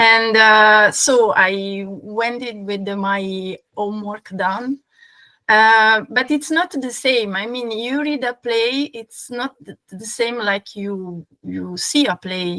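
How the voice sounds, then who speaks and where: A woman with a non-native accent at a very slow pace, fairly high in pitch with ordinary pitch variation, bright and sharp in tone, with big swings in loudness and a dry, close sound with no echo. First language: not English. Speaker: fan of the actor. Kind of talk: casual chat. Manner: halting, many repetitions and fillers.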